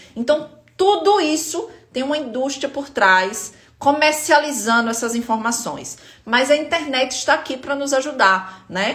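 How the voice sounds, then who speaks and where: With a northeastern Brazilian accent, a woman speaks at a fairly slow pace in a high pitch with lively intonation. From Northeast Brazil, Aracaju, Sergipe. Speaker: spine pain health educator. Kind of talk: live stream talk to viewers.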